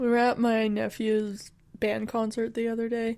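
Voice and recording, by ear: A woman's fairly high, dark and mellow voice with a South Dakota accent, at a moderate pace, on a very clean recording with a silent background. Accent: South Dakotan, windy Upper Midwest.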